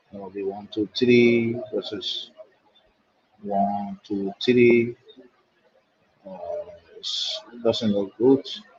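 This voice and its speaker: With a Nigerian accent, a man speaks very slowly at a medium pitch. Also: long, frequent pauses, big swings in loudness. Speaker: chess commentator. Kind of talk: live commentary.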